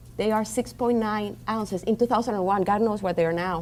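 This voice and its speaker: This woman speaks with a Colombian accent. Her voice sits fairly high. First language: Spanish. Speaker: diabetes educator. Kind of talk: conference seminar talk. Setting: conference room with audience.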